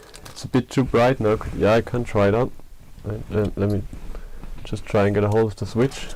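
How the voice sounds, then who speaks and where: A man's fairly low, monotone voice with flat intonation, a non-native accent, a fairly quick pace and long, frequent pauses. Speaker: 3D printing maker, channel owner. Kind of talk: live stream unboxing. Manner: hesitant, many fillers. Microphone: bad audio.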